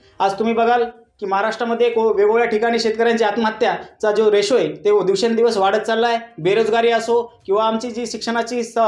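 A man with a high pitch speaks in a monotone, flat intonation. Audible echo fills the room. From Jalna district, Marathwada, Maharashtra, India; Maharashtra. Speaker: medical student; student giving statement to news channel. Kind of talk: interview. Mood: earnest, politically passionate.

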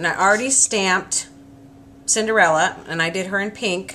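This is a woman's voice with ordinary pitch variation. There is light background noise. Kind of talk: tutorial. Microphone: camera far.

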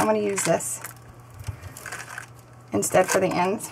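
A woman speaks at a moderate pace. Her voice has vocal fry and a slightly husky edge.

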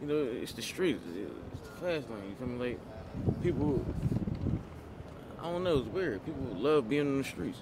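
Long, frequent pauses break up a man's speech over loud background noise. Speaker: interviewee. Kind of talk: interview answer. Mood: subdued, reflective. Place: street. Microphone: phone near.

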